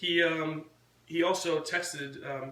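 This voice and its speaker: Fairly high male voice with fairly even intonation, plus noticeable background noise and audible room echo. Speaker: vlogger and punk rock band member. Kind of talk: casual chat. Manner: quiet.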